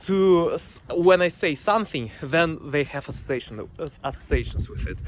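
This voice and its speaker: A man speaks with a Russian accent at a moderate pace. Noticeable background noise sits under the voice. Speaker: vlogger, PhD student. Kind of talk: casual monologue vlog. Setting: outdoors near a pond. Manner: halting, many fillers.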